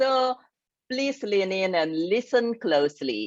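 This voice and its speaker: Lively intonation from a woman with an Indonesian accent at medium pitch, in a dry, close sound with no echo and a quiet background. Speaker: grief and success coach. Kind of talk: interview talk. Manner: halting.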